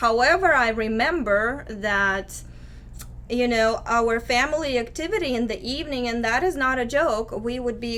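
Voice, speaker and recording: A woman speaks with a Russian accent. Audible room echo surrounds her voice. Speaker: activist. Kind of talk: interview testimony.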